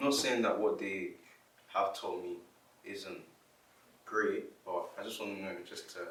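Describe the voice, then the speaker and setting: Speaking at a fairly slow pace, a man leaves long, frequent pauses and swings widely in loudness. Room echo is audible. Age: young. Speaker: young person sharing views. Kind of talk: personal testimony to camera.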